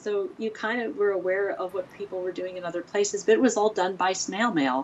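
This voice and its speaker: A woman speaks at medium pitch. Noticeable background noise runs behind her. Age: 50s. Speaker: printmaker and studio director. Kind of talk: interview.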